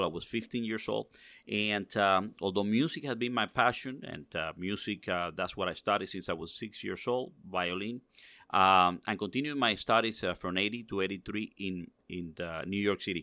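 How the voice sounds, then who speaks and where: A man with a Spanish accent, a bright, sharp tone and a moderate pace, in a very clean recording with a silent background. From Cuba, raised in Miami Cuban community. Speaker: cigar industry executive. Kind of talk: interview.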